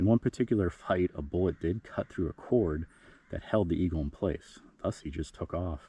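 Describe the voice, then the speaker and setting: In a dark, mellow tone that is somewhat breathy, the speech has ordinary pitch variation and a moderate pace, with a dry, close sound with no echo and a quiet background. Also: man, very deep, low pitch for a man. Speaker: cemetery explorer vlogger. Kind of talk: history storytelling. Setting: outdoors at a cemetery. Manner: quiet, low voice; casual with fillers.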